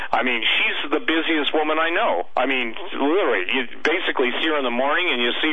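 A man talks at a fairly quick pace with ordinary pitch variation. Noticeable background noise runs beneath his voice. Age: 60s. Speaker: author and radio commentator. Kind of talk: radio interview.

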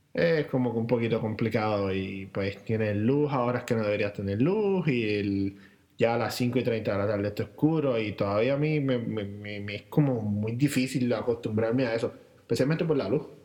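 Music plays in the background as a man speaks at a medium pitch and moderate pace with ordinary pitch variation. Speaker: podcast co-host. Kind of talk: casual chat. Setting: home recording, same room.

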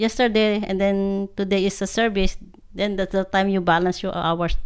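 Her pitch is medium. The woman speaks with fairly even intonation. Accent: Filipino. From Philippines, Ilocos Norte. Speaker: hotel housekeeper. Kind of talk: podcast interview. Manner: halting.

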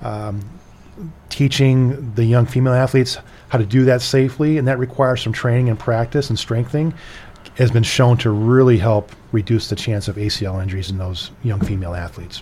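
A man with an American accent, medium pitch and ordinary pitch variation, at a fairly quick pace over noticeable background noise. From US Midwest, Chicago area. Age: 50s. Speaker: orthopedic surgeon. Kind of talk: radio interview.

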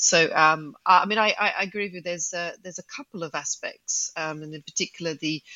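A woman with a fairly low pitch and an ordinary speaking voice. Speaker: management consultant. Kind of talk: casual chat.

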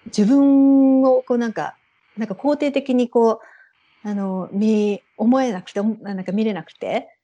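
This woman talks at a fairly slow pace with a fairly high pitch, a dark, mellow tone and ordinary pitch variation. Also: big swings in loudness. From Japan, Saitama (Ogawa). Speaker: Japanese expatriate in Sweden. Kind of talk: casual interview.

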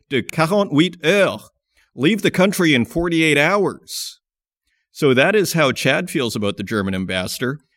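A man speaks in a plain, everyday voice at a moderate pace and fairly high pitch, on a very clean recording with a silent background and a dry, close sound with no echo. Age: 40s. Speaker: mining podcast host. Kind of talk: podcast interview and news commentary.

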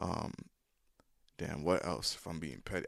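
Fairly quick male speech with vocal fry and ordinary pitch variation. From Nigerian family background. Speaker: rapper and producer. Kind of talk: casual chat. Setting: studio.

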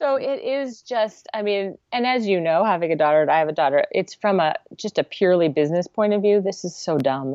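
This woman has an ordinary speaking voice with an American accent. Her intonation is lively. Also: medium pitch for a woman. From US West Coast, Santa Cruz, California. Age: 40s. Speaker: nonprofit founder, former animation production manager. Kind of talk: interview conversation.

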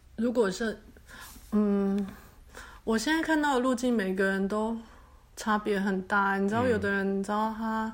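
There is audible room echo as a woman speaks at a moderate pace with long, frequent pauses. Her voice is fairly high, with fairly even intonation. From Taiwan. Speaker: hypnotherapist. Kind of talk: interview.

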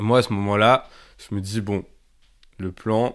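In a very clean recording with a silent background, a man with a fairly low pitch speaks with fairly even intonation. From France, Grenoble. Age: 20s. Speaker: former activist. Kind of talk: testimony. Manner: casual with many fillers.

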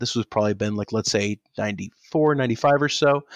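In a normal speaking voice with an American accent, a man talks at a fairly quick pace and medium pitch with fairly even intonation, the sound dry and close with no echo against a quiet background. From Pakistan (Karachi), with early years in Dallas, Texas. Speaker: journalist and author. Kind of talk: interview.

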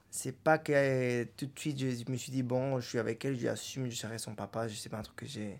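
This man's voice sits at a medium pitch and keeps a fairly even intonation. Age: 30s. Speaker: father. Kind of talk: interview testimony. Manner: halting.

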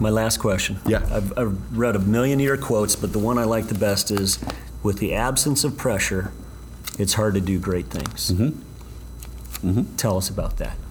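A fairly low-pitched man at a moderate pace, with very wide pitch swings, very even loudness and noticeable background noise. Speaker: university athletic director and podcast host. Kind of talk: interview.

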